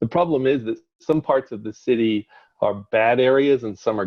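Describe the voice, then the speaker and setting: This man has a slight Northern Irish accent. His pitch sits in the medium range. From Northern Ireland. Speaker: company CEO. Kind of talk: interview conversation. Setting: video call via cell phone. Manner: hesitant, many fillers. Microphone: unstable internet connection.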